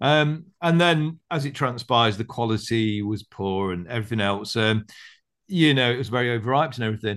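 Someone with an English accent talks at a fairly quick pace with lively intonation. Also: man, medium pitch for a man. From England. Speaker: watch podcast host. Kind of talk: casual chat. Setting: video call.

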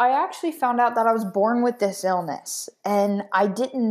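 A woman with an American accent speaks in a normal speaking voice, her fairly high pitch moving with ordinary variation. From Florida. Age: 20s. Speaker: company founder and patient advocate. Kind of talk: interview testimony.

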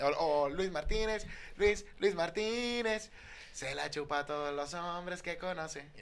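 A man speaks in a high pitch at a fairly slow pace. His pitch variation is ordinary. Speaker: comedian. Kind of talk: casual chat. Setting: studio.

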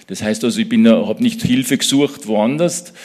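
A man's fairly high voice swings very widely in pitch as he talks at a moderate pace against noticeable background noise. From Austria, Salzburg region (Mittersill). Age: 60s. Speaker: church small-group leader, business manager. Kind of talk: church interview, personal testimony.

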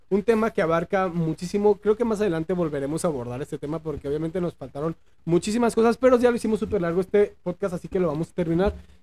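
Here a man talks very fast at a high pitch, with hardly any pauses and ordinary pitch variation. His tone is dark and mellow, and the sound is dry and close with no echo. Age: 30s. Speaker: podcast host. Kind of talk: casual chat.

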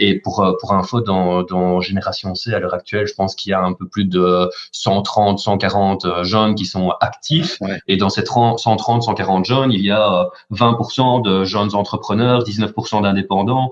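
Amid noticeable background noise, a man with a fairly low pitch talks at a very slow pace with fairly even intonation. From Belgium, Charleroi. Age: 30s. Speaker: business club director. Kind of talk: interview.

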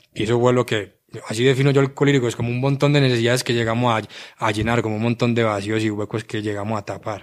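A man with a Medellín Colombian accent speaks very fast at a medium pitch in a flat monotone, on a very clean recording with a silent background. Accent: Colombian paisa (Medellín) Spanish. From Colombia, Medellín (Aranjuez). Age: 30s. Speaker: rapper. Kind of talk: interview. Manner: casual, with hesitations and slang.

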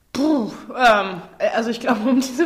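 A woman speaks at a moderate pace. Noticeable background noise sits behind her voice. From Saarland, Germany. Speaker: actress and slam/cabaret performer. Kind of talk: casual interview.

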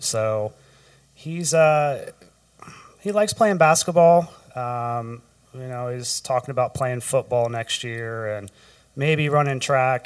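Speaking at a very slow pace with long, frequent pauses, a man with an American accent holds a medium pitch and ordinary pitch variation. His loudness swings widely. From Ohio, US Midwest (rural Fairfield County). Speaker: car dealership team leader. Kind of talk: casual interview. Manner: hesitant, with many fillers.

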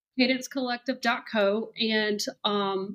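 A woman speaks in a normal speaking voice, pitched fairly high, with ordinary pitch variation. The recording is very clean, with a silent background. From US South. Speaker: life and leadership coach. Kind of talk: interview.

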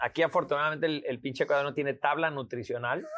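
Noticeable background noise sits behind a man with a fairly high pitch. He speaks at a fairly quick pace with fairly even intonation. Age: 40s. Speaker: homeopath and visual artist. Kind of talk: casual interview. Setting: outdoors on a terrace.

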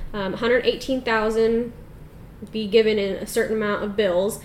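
There is audible room echo around a woman's fairly high-pitched voice. Her intonation is monotone and flat. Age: 20s. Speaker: podcast co-host. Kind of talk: casual chat.

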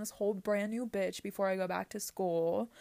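Speaking at a fairly quick pace, a woman sounds animated in a fairly high voice. The recording is very clean with a silent background. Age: young. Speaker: podcast host. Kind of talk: casual monologue. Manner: animated, with frequent fillers.

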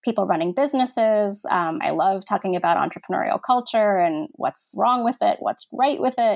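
In an American accent, a woman with an ordinary speaking voice talks at a moderate pace, fairly high in pitch and with lively intonation. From Virginia, US (Virginia Beach). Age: 30s. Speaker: design blogger and publisher. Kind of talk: interview.

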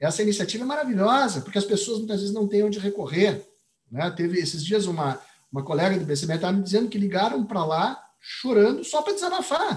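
A man talks at a fairly quick pace with a southern Brazilian accent. His voice sits high in pitch. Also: lively intonation. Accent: gaúcho accent, noticeable. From Rio Grande do Sul, Brazil. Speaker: occupational physician, professor. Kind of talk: panel discussion.

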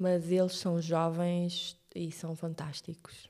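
This woman's somewhat breathy voice sits fairly low in pitch and has a dark, mellow tone. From Cape Verde, Santiago (Cidade Velha). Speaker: TV presenter. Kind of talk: casual chat.

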